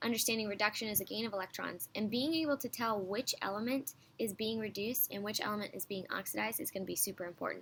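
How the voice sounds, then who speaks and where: A woman's fairly high, bright, sharp voice with vocal fry, ordinary pitch variation and a very fast pace. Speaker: high school chemistry teacher. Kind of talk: recorded online lesson. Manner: sped-up playback, slightly high pitched.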